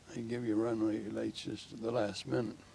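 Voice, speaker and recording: With noticeable background noise, a man speaks in a Canadian accent. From southern Ontario, Canada. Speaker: war veteran. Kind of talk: interview. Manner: halting.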